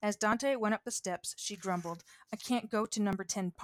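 Someone is reading aloud in a natural voice, with ordinary pitch variation.

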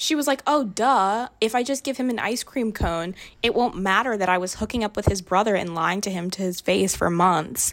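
In an ordinary speaking voice, a woman talks at a moderate pace and medium pitch with ordinary pitch variation and hardly any pauses, on a very clean recording with a silent background. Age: 20s. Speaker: podcast co-host. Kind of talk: casual chat.

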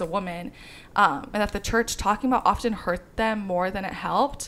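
Speaking fairly quickly in a plain, everyday voice, a woman with an American accent uses ordinary pitch variation. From US Midwest. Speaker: podcast co-host. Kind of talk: casual chat.

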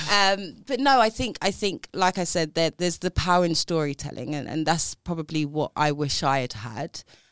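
With a South East London accent, a woman with a fairly low pitch speaks in lively intonation, with hardly any pauses. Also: moderate pace. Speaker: banking professional and diversity advocate. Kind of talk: casual interview chat.

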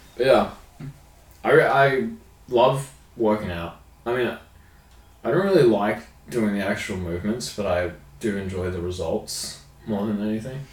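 Against audible room echo, a man with an Australian accent and fairly low pitch speaks somewhat breathily at a fairly slow pace, with ordinary pitch variation and long, frequent pauses. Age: 20s. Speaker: podcast co-host. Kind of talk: casual chat.

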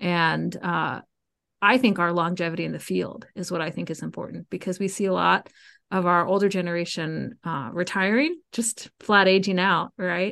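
A woman with an American accent talks in a normal speaking voice at a medium pitch and moderate pace, with ordinary pitch variation against a quiet background. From US South, Georgia (Cobb County near Atlanta). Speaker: music professor and band conductor. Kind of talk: casual interview.

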